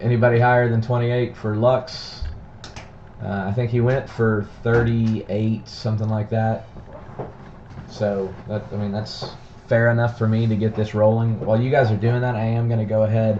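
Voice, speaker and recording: Amid noticeable background noise, a man with a strong Texan accent talks at a moderate pace and medium pitch, monotone and flat, with long, frequent pauses. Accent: thick Texan. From Texas, Dallas-Fort Worth area. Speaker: card breaker streamer. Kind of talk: live stream card break.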